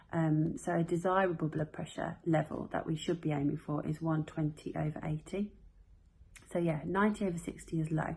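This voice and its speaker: A soft-spoken woman with a British accent talks fairly quickly in a monotone, flat way, her fairly low voice somewhat breathy. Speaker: health vlogger. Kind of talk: casual explainer to camera. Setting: at home at bedtime. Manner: quiet, soft-spoken; hesitant, many fillers.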